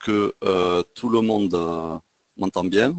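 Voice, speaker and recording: A man with a Toulouse accent, fairly low in pitch, at a very slow pace with ordinary pitch variation and a dry, close sound with no echo. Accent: southwest French (Toulouse). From southwest France, Toulouse. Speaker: trading trainer. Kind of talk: webinar lecture. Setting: online webinar. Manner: hesitant, many fillers. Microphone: sound reported good.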